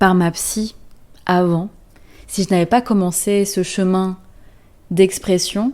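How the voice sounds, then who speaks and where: The voice moves at a very slow pace in a dark, mellow tone with fairly even intonation. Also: woman. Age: late 20s. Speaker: therapist and energy coach. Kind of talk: podcast-style personal story. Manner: casual, conversational.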